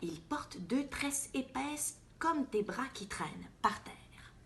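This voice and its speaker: A woman speaks very slowly in a somewhat breathy voice whose pitch swings very widely. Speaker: actress. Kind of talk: children's picture book reading.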